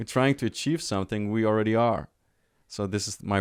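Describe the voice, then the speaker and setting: A man talks at a moderate pace with a German accent. His intonation stays fairly even. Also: very clean recording, silent background. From Germany. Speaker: life coach. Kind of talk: casual interview chat. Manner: halting.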